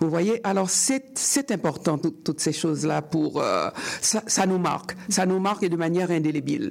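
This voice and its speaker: This is an ordinary speaking voice with lively intonation, a moderate pace and very even loudness. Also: woman, medium pitch for a woman. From Haiti. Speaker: writer. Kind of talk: interview.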